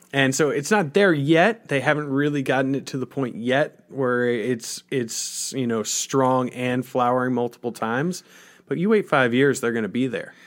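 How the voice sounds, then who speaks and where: With a plain, everyday voice, a man of medium pitch and ordinary pitch variation is heard in a very clean recording with a silent background. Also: moderate pace. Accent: American. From Colorado. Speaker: cannabis topical product maker, grower, former radio worker. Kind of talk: interview conversation. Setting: studio.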